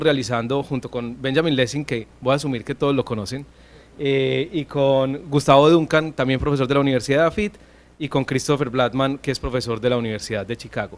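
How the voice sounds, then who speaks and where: This man speaks fairly quickly in a fairly high pitch, with ordinary pitch variation. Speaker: economics professor. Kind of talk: conference talk. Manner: fast; many filler hesitations.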